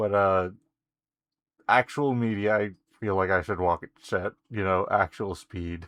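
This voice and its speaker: The recording is dry and close with no echo and a quiet background. A man with a fairly low pitch and fairly even intonation speaks at a fairly slow pace with long, frequent pauses. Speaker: video game streamer. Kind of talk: casual gameplay commentary with game dialogue read aloud. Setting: live stream.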